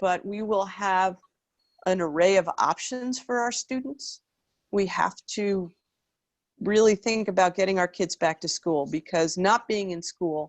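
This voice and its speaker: Using an ordinary speaking voice, a woman talks at a fairly slow pace and medium pitch with ordinary pitch variation. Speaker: school district superintendent. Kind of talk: public meeting, reading and answering comments. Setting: online video meeting.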